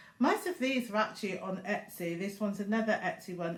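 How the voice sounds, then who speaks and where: A woman talks with a British accent at a moderate pace. Her voice is somewhat breathy. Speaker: crafting YouTuber. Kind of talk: casual vlog talk. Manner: chatty with fillers.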